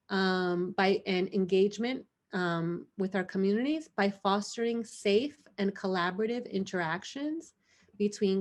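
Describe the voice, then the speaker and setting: Over a quiet background, a woman with a Spanish accent speaks at a fairly slow pace, medium pitch and lively intonation. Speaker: HIV prevention trainer. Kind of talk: online training presentation.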